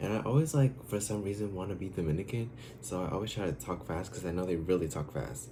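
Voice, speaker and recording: With an American accent, a man speaks in a somewhat breathy, dark, mellow tone against audible room echo. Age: 20s. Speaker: YouTuber, college student. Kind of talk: casual vlog Q&A. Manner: hesitant, many fillers.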